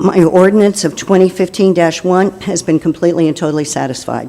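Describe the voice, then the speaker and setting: Her pitch shifts in an ordinary way. The woman talks at a moderate pace. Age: 70s. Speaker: resident addressing city council. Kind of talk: public comment statement. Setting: city council meeting.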